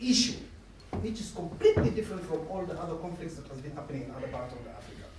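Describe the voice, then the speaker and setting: With noticeable background noise and audible room echo, a man speaks at a high pitch with very wide pitch swings. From South Sudan. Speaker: audience member asking a question. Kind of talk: public Q&A comment. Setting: public discussion event with audience. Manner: animated.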